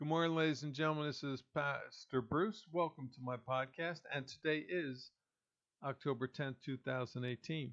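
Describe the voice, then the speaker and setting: An unremarkable speaking voice talks at a moderate pace with an American accent and ordinary pitch variation. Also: man, fairly high pitch for a man. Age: 60s. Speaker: pastor and political podcaster. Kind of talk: political commentary monologue.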